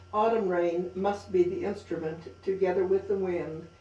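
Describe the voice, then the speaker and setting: Noticeable background noise runs under a woman speaking at a fairly slow pace. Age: 80s+. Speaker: author. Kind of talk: reading of own writing.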